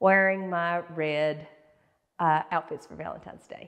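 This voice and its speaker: The surroundings are quiet. A woman talks at a fairly slow pace. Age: 60s. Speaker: fashion and beauty YouTuber; beauty YouTuber. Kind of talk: fashion tutorial. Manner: casual, chatty. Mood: warm, cheerful. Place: home room.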